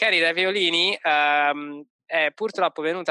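A man speaks with a fairly high pitch. His intonation is fairly even and his pace fairly slow. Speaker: podcast co-host. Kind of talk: casual chat. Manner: hesitant, many fillers.

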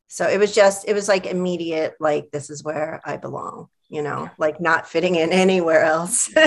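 In an American accent, a woman with an ordinary speaking voice, fairly low in pitch, talks with hardly any pauses and big swings in loudness. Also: fairly even intonation, moderate pace. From New York. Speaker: librarian and collective organizer. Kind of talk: casual chat.

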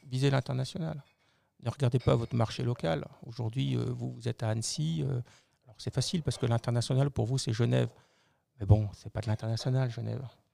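A somewhat breathy man talks fairly quickly in a dark, mellow tone with ordinary pitch variation and big swings in loudness. The recording is very clean and dry, close with no echo, against a silent background. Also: medium pitch for a man. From Lorraine, eastern France (Metz). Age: 50s. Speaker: business executive. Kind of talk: interview.

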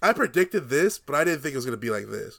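The audio is very clean, and the background is completely silent. A man talks with lively intonation. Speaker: podcast host. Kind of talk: casual chat.

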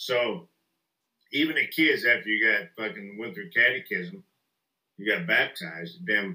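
A man with a Southern US accent speaks at a medium pitch and a moderate pace. His tone is bright and sharp, with very wide pitch swings. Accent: Southern US, picked up. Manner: joking, profane.

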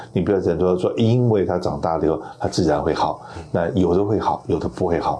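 Over noticeable background noise, a man with a very deep, low pitch speaks at a fairly quick pace, his loudness very even and his pitch variation ordinary. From Taiwan. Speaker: radio host and insurance broker. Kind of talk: interview.

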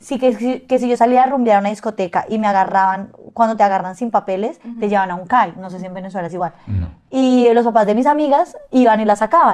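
A woman's fairly high voice at a very fast pace, with ordinary pitch variation and big swings in loudness. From Colombia. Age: 20s. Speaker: dancer and influencer. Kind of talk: casual interview.

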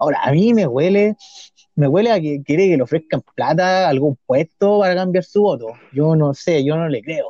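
A man with a Chilean accent speaks at a moderate pace in a high pitch, with lively intonation. His tone is dark and mellow, and the sound is dry and close with no echo. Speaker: podcast co-host. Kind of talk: casual political chat. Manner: halting, repeats words.

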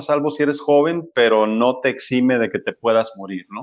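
A man speaks in a normal speaking voice at medium pitch and a moderate pace, with ordinary pitch variation. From Mexico, Sinaloa (Culiacán). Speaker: medical doctor. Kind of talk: interview.

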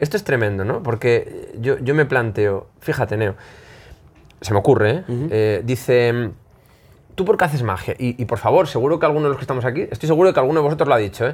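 A man's breathy-edged, medium-pitched voice at a very fast pace, with lively intonation. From Spain, Zamora. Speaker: magician. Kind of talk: casual interview before live audience. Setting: magic shop with live audience.

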